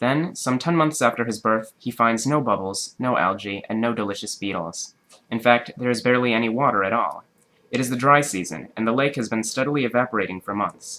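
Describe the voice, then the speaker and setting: A man with a normal speaking voice talks at a fairly quick pace, at medium pitch with ordinary pitch variation. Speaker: amateur reader. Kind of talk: reading aloud.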